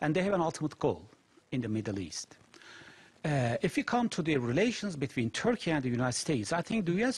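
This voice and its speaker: Using vocal fry, a man speaks at a moderate pace with very wide pitch swings. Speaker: security studies lecturer, interview guest. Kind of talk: interview answer. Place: studio.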